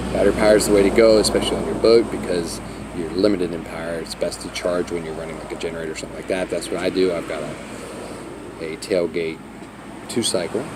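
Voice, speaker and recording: A man talks very fast in a very deep, low voice, his intonation fairly even but his loudness swinging widely. The room echoes audibly, and there is noticeable background noise. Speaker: sailboat vlogger. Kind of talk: casual vlog tutorial.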